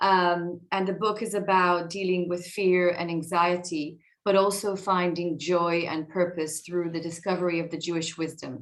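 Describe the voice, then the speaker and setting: Speaking with an Israeli accent and hardly any pauses, a woman keeps a monotone, flat intonation at a fairly low pitch. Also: moderate pace. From Israel (north Tel Aviv). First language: Hebrew. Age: 40s. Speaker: tech executive and author. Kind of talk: talk to an audience. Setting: video call. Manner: hesitant, many fillers.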